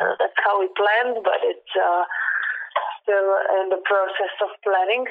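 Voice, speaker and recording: A woman with a Serbian accent, very slow and very even in loudness, over noticeable background noise. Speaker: professional climber. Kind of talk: interview.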